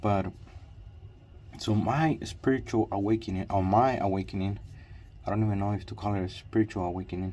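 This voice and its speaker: A man's fairly low, dark, mellow, somewhat breathy voice at a moderate pace, with fairly even intonation. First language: Spanish. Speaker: vlogger. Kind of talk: personal vlog monologue. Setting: in a car with headlamp. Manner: halting, repetitive with fillers.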